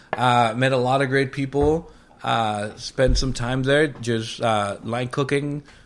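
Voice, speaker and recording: A man speaks at a medium pitch with a Spanish accent. His intonation stays fairly even, and his pace is very slow. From Mexico. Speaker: chef and restaurant owner. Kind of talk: casual interview chat. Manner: casual, filler-heavy.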